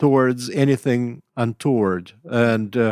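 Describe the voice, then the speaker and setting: This voice has a Russian accent. Its pitch varies in an ordinary way. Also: man. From Russia, Leningrad. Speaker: writer and professor. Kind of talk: interview. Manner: halting, many fillers.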